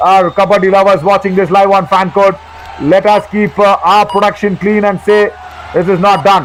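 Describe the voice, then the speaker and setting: A man talks at a fairly slow pace in a high pitch, his tone animated. Noticeable background noise runs behind him. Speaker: kabaddi commentator. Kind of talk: live commentary. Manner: loud.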